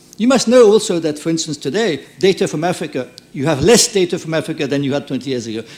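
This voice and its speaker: Very wide pitch swings and a very fast pace mark this speaker with a French accent. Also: man. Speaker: conference speaker, former mayor. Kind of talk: conference wrap-up speech. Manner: halting.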